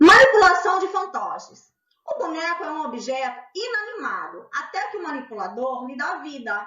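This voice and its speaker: Very wide pitch swings mark a woman's voice. She talks at a moderate pace. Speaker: art educator. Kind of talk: educational lecture.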